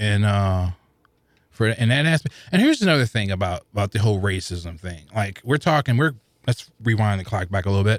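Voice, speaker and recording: On a very clean recording with a silent background, a man with an American accent talks at a fairly quick pace in an ordinary speaking voice, his fairly low pitch showing ordinary variation. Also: dry, close sound with no echo. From St. Louis, Missouri. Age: 40s. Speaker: podcast listener. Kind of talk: casual chat. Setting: studio.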